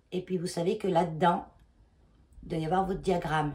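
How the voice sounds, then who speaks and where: Her voice somewhat breathy, a woman speaks at a medium pitch with fairly even intonation. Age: 50s. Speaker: knitting vlogger. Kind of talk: casual vlog talk. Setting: at home, in her bedroom. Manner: hesitant, many fillers.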